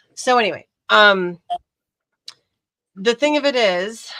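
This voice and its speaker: A woman's bright, sharp voice in a dry, close sound with no echo. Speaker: livestream host, ceramics hobbyist. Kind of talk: casual chat. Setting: live stream.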